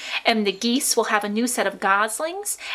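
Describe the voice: A text is read out plainly. The intonation moves in a lively way.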